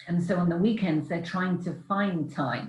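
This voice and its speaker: A woman with a British accent, fairly low-pitched and somewhat breathy, at a fairly slow pace. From England. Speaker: relocation coach and author. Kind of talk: online Q&A talk. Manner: hesitant with many fillers.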